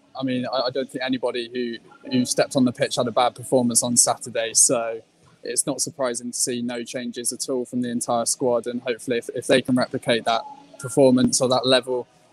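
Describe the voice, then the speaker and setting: A man talks at a very fast pace in a monotone, flat intonation. The sound is dry with no echo, with faint music in the background. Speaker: remote guest. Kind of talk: interview answer. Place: stadium.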